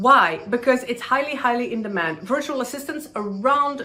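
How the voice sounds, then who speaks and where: A voice with a non-native accent and very wide pitch swings over noticeable background noise. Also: woman. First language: not English. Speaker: online business YouTuber. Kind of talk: tutorial.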